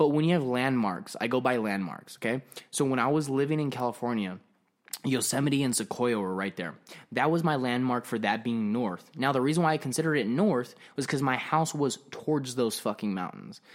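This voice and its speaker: Speaking with an American accent, a man at a medium pitch moves at a fairly quick pace with lively intonation. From Arizona. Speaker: podcast guest. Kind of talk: casual chat. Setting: home office studio. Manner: loud.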